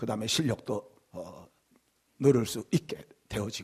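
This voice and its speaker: A somewhat breathy man talks at a fairly slow pace with lively intonation. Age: 60s. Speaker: pastor. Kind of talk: sermon. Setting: church.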